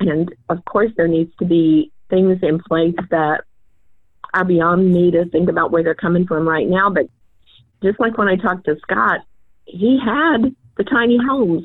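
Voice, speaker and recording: A woman with an unremarkable speaking voice. Her pitch is medium and her loudness stays very even. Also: lively intonation. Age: 60s. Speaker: church ministry leader, retired social worker. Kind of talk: interview.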